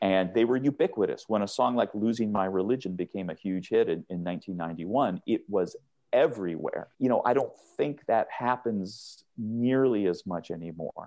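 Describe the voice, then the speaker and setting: A man with an American accent, medium pitch, ordinary pitch variation, and a moderate pace. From US Pacific Northwest (Seattle). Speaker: author, music writer. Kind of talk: interview. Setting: remote call.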